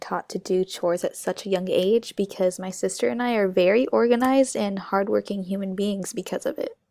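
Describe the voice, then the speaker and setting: A woman with an American accent has a plain, everyday voice at medium pitch. She talks at a fairly quick pace with ordinary pitch variation, in a dry, close sound with no echo. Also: hardly any pauses. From US, Mexican-American family. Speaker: student. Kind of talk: class presentation. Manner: casual, conversational.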